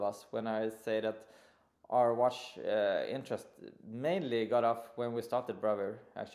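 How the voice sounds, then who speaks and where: A man is speaking. He has a Swedish accent. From Sweden. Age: 40s. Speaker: watch brand co-founder, industrial designer. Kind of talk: interview.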